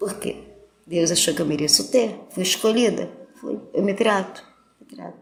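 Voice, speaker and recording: At a moderate pace, a woman speaks with long, frequent pauses and big swings in loudness. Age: 60s. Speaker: church member sharing health testimony. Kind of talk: testimony.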